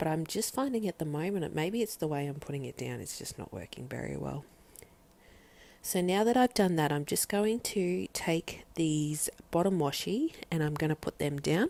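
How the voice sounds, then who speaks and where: A woman's very deep, low voice with a dark, mellow tone at a moderate pace. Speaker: planner hobby vlogger. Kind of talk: tutorial. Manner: casual, hesitant with fillers.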